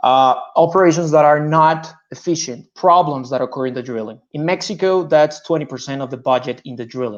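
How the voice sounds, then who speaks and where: This man speaks in a Spanish accent at a fairly quick pace, his pitch fairly high with ordinary variation. His loudness swings widely. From Colombia. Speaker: petroleum engineer and startup founder. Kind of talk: startup pitch.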